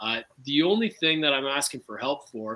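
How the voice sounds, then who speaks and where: A man speaks in a bright, sharp tone with lively intonation. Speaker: defendant restaurant owner.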